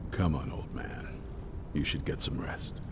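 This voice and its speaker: Loud background noise surrounds a man doing a put-on character voice at a moderate pace. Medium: game stream.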